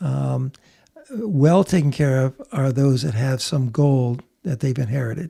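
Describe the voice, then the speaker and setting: A man with a fairly high pitch speaks at a fairly slow pace, his dark, mellow tone somewhat breathy. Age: 70s. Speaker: bullion dealer. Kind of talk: interview answer.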